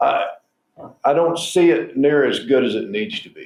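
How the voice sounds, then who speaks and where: A man speaks with a Southwestern US accent. His pace is fairly slow. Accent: rural southwestern US. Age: 70s. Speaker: state senator and rancher. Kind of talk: interview.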